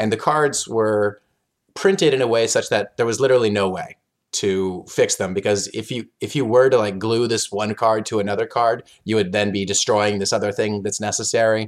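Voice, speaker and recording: In a very clean recording with a silent background, a man with an American accent uses a normal speaking voice, fairly low in pitch, at a moderate pace. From US, Oklahoma. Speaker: board game designer. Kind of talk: interview, casual chat.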